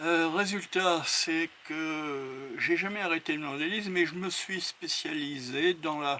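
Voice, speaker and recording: A man with a bright, sharp tone and fairly high pitch talks at a very slow pace, keeping his intonation fairly even. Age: 70s. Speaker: model aircraft hobbyist. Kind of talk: interview testimony. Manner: hesitant, many fillers.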